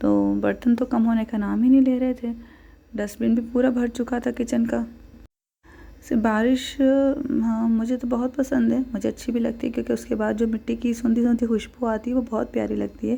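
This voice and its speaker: The woman's intonation is monotone and flat, at a moderate pace. Her voice sits fairly high in pitch with a dark, mellow tone. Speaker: vlogger, housewife and mother. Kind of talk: casual vlog voiceover.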